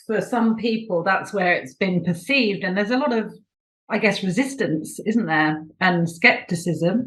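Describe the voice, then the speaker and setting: With a British accent, a woman speaks with lively intonation. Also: medium pitch for a woman, moderate pace. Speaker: podcast host. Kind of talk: interview.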